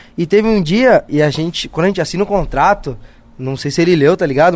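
At a fairly quick pace, a man speaks with a high pitch and lively intonation. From São Paulo, north zone (Brasilândia). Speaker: actor. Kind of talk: casual chat.

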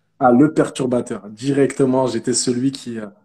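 The man's tone is dark and mellow. He speaks at medium pitch and a moderate pace. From Paris, France. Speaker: digital marketer. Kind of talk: interview.

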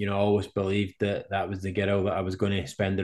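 The speaker has a Scottish accent, with a quiet background. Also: man. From Scotland. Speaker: professional cyclist and speaker. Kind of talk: interview.

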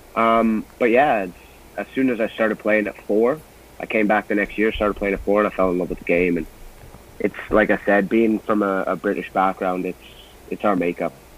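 A man speaks at a moderate pace with a fairly low pitch. His intonation stays fairly even. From Canada, Brampton, Ontario, Scottish family. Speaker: former pro soccer striker. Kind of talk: podcast interview.

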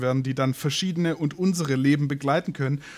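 A man's very fast, fairly high-pitched speech with fairly even intonation over noticeable background noise. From southern Germany. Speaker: podcast host, musician and photographer. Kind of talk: interview.

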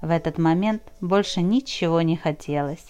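A woman with a dark, mellow tone speaks at a fairly low pitch and a fairly slow pace, with ordinary pitch variation. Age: 40s. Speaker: writer reading her diary and novel. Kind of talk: reading aloud.

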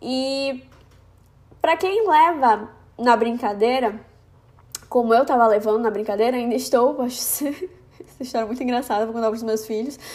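Over noticeable background noise, a woman with a high pitch speaks at a moderate pace, using ordinary pitch variation and long, frequent pauses. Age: 20s. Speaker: podcaster. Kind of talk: casual monologue. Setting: at home.

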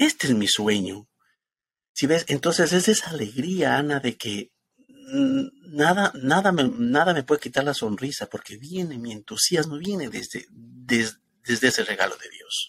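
A man's fairly high voice at a fairly slow pace, with very wide pitch swings and big swings in loudness. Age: 50s. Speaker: spiritual ministry host. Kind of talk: spiritual talk show chat.

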